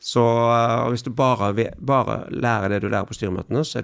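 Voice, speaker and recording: A man talks at a fairly quick pace with a medium pitch. His pitch varies in an ordinary way. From western Norway, near Haugesund. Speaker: entrepreneur and investor. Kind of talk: interview. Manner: halting.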